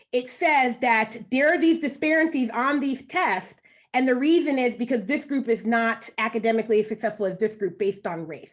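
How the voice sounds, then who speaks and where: Lively intonation marks this woman's high voice. She speaks at a fairly quick pace. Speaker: education researcher. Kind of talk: panel discussion. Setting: panel with interpreters. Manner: fast.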